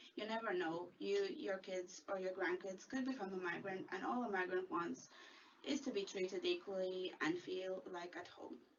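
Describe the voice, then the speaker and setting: The speaker goes at a moderate pace with ordinary pitch variation. There is noticeable background noise. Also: woman, medium pitch for a woman. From Latvia, raised in Ireland from childhood. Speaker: community worker. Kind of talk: prepared video statement.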